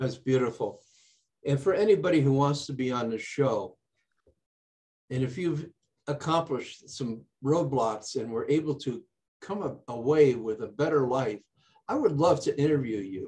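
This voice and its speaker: Pausing long and often at a moderate pace, a man with a fairly high pitch and ordinary pitch variation speaks in a somewhat breathy voice with a dark, mellow tone. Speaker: talk show host. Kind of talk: interview. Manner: stutter; animated.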